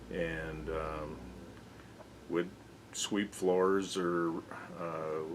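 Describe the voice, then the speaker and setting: Speaking with a Western US accent, a man delivers flat, monotone lines in a very deep, low pitch. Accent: American, Western US. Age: 60s. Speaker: local business owner. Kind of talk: oral history interview. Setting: hardware store.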